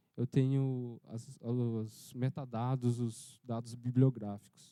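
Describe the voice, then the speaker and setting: In a dry, close recording with no echo, a man with a dark, mellow tone and medium pitch speaks very slowly in a flat monotone. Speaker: workshop instructor. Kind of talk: software tutorial.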